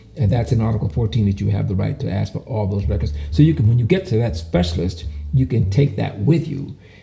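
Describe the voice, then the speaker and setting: A man races along at a very fast pace, his pitch swinging very widely, with noticeable background noise behind him. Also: fairly low pitch for a man. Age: 70s. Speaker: patient sharing health experience. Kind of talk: testimony. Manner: halting.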